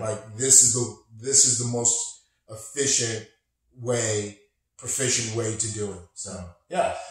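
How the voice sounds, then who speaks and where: Somewhat breathy, a man talks at a fairly slow pace with long, frequent pauses, fairly even intonation and big swings in loudness. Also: medium pitch for a man. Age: 50s. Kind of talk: interview answer.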